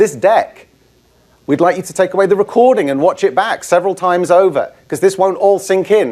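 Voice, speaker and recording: With a British accent, a man speaks at a fairly quick pace. His pitch is high, with ordinary variation. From UK. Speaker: IT trainer. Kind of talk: conference presentation. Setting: stage with audience.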